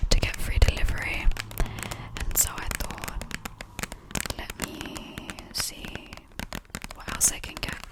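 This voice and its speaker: A woman whispers in a gentle tone at a moderate pace, with long, frequent pauses, big swings in loudness and noticeable background noise. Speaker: ASMR content creator. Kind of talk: ASMR haul video, whispered to camera. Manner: soft whispered, gentle.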